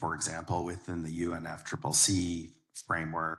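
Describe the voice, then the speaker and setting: A man talks in a very deep, low pitch. His tone is bright and sharp. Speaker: scientist on panel. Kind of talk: panel discussion. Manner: loud.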